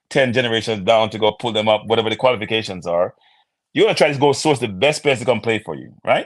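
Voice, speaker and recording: A man with a Jamaican accent speaks at medium pitch. His pace is very fast. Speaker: football pundit. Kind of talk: casual chat. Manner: halting.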